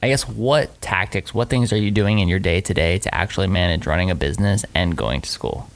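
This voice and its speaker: A man with a very deep, low pitch talks at a fairly quick pace. His intonation is lively, and vocal fry runs through his voice. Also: hardly any pauses. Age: 30s. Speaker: podcast host. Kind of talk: casual chat.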